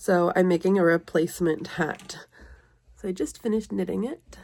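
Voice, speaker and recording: Fairly even intonation and vocal fry mark this voice, which moves at a moderate pace. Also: woman. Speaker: vlogger, knitter and craft seller. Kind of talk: casual vlog talk to camera.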